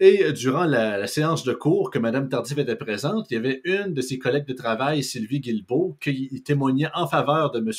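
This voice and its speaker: The intonation is lively, with a Quebec accent. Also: man, fairly high pitch for a man, moderate pace, hardly any pauses. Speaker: podcast host. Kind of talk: casual political talk show.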